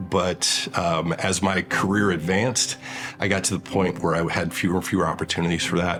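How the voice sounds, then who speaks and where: Over music in the background, a man with an American accent talks at a fairly quick pace in a very deep, low voice with fairly even intonation. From Michigan, US. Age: 50s. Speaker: patient. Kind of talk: testimony.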